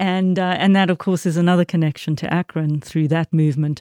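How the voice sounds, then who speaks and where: A dark, mellow voice with a South African accent and fairly even intonation, dry and close with no echo, on a very clean recording with a silent background. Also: woman. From South Africa, Port Elizabeth. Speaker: minister. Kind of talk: interview.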